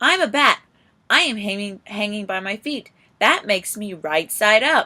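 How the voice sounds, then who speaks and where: Using a put-on character voice, a woman speaks loudly at a moderate pace with medium pitch. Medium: read story.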